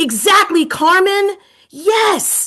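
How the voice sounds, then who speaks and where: In a New York accent, the raised, projected voice sounds bright, sharp and animated. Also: woman. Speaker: education consultant and coach. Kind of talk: webinar presentation. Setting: video webinar.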